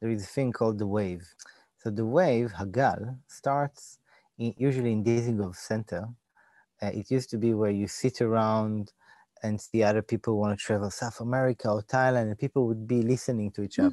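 A man with an Israeli accent, a dark, mellow tone, fairly even intonation and a fairly quick pace, in a dry, close sound with no echo. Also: medium pitch for a man. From Israel, Jerusalem. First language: Hebrew. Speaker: designer and digital event producer. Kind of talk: interview conversation. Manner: halting.

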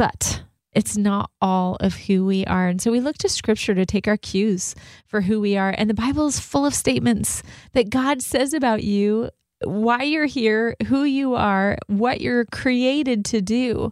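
On a very clean recording with a silent background, a woman speaks fairly slowly in a plain, everyday voice, her fairly high pitch showing ordinary variation and her loudness very even. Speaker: radio host. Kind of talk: radio talk show conversation. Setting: radio studio.

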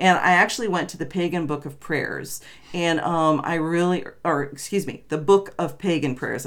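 A woman talks at a moderate pace in a plain, everyday voice. Her pitch is fairly low, with ordinary variation. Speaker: podcast co-host. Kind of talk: casual chat. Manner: bantering, overlapping.

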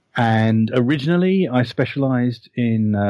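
The voice carries a British accent. Its tone is dark and mellow. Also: man, very clean recording, silent background. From Britain. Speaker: author and anime historian. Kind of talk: interview.

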